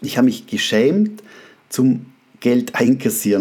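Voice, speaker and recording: A man's pitch swings very widely as he talks over noticeable background noise. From Austria. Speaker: photographer and podcast host. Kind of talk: casual monologue. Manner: hesitant with fillers.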